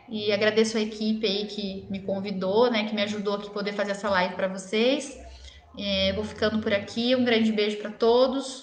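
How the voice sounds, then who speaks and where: Noticeable background noise and audible room echo surround a woman's fairly high voice. She keeps a moderate pace and fairly even intonation. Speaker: dentist. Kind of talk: live stream Q&A. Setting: live stream.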